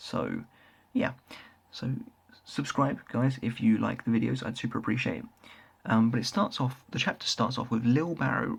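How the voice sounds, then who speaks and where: This recording of a man's voice is very clean, and the background is silent. He has a British accent. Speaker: manga reviewer, YouTuber. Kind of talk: casual review monologue. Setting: at home, late night. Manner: quieter than usual.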